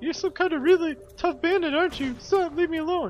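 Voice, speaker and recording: Shouting in a gruff, extremely high put-on character voice, the speaker goes at a fairly quick pace against clear background noise. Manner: fake yelling, gruff, feigned hostility.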